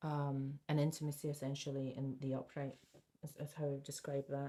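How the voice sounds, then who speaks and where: A soft-spoken woman has a very deep, low pitch and a dark, mellow tone. Her intonation stays monotone and flat at a fairly quick pace. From Scotland. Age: 70s. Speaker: tarot reader. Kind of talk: tarot reading. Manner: halting.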